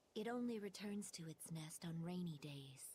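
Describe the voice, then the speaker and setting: At a moderate pace, a female-sounding voice performs a put-on character voice pitched fairly low. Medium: video game.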